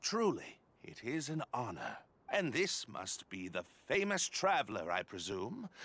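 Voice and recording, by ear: A man puts on a character voice at a medium pitch, with a fairly bright tone. He talks at a fairly slow pace, his pitch swinging very widely.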